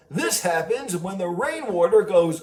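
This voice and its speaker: A man speaks in a cartoonish character voice. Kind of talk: educational facts for children. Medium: puppet.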